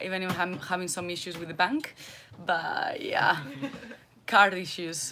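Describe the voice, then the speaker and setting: Amid noticeable background noise, a woman at a medium pitch speaks at a fairly slow pace with ordinary pitch variation and long, frequent pauses. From Basque Country, Spain. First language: Spanish or Basque. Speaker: primary school teacher, sailing crew member. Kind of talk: casual self-introduction.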